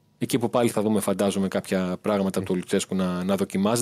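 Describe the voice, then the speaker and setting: In a dry, close recording with no echo, a man talks in a flat monotone at a fairly low pitch. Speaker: football reporter. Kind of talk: sports report by phone.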